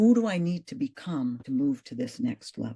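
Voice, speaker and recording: Her voice is fairly low for a woman and somewhat breathy, with a dark, mellow tone, very wide pitch swings, a moderate pace, and a dry, close sound with no echo. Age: 60s. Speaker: actress and fitness coach. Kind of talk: interview conversation.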